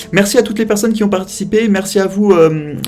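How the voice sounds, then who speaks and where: Very fast speech from a man, noticeable background noise behind it. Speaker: streamer and show host. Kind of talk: live stream talk show outro.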